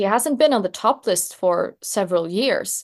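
This voice moves at a moderate pace with ordinary pitch variation over a quiet background. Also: woman. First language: Swedish. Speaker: journalist. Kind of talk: interview.

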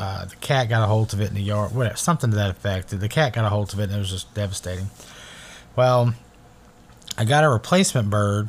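This man speaks at a fairly quick pace. His pitch is fairly low, and he has an unremarkable speaking voice. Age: 40s. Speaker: podcast host. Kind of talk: casual monologue. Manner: relaxed, with frequent fillers.

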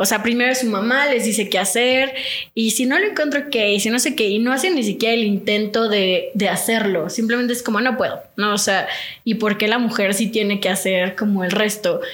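A woman talks at a fairly quick pace and fairly high pitch, with ordinary pitch variation and very even loudness, amid noticeable background noise and audible room echo. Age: 20s. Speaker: nutritionist. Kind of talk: casual chat.

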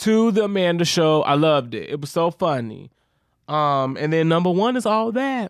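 In a very clean recording with a silent background, a man talks at a moderate pace in a high, animated voice with very wide pitch swings. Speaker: podcast co-host. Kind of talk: casual chat. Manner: loud.

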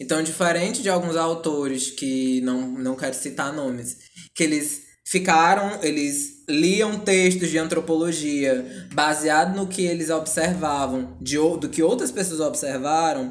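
Audible room echo surrounds a man speaking at a fairly slow pace. His pitch is fairly high, with ordinary variation. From Ceará interior, northeast Brazil. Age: 20s. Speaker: psychologist. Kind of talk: interview, explanatory.

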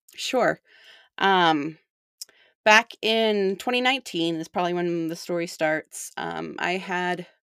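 A woman at a very slow pace with fairly even intonation, in a very clean recording with a silent background and a dry, close sound with no echo. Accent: Utah. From Utah (St. George). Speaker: bereaved mother, non-profit volunteer. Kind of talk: interview testimony.

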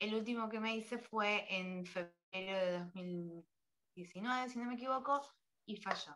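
A woman speaks very slowly with a fairly high pitch. Her tone is bright and sharp, with ordinary pitch variation. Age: 30s. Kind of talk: testimony. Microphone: muffled at first, covered microphone.

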